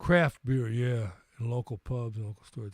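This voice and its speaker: A man speaks with an American accent, somewhat breathy. The sound is dry and close with no echo, on a very clean recording with a silent background. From US Midwest, St. Louis. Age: 60s. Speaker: livestream host and musician. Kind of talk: casual live chat. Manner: halting, repeats words.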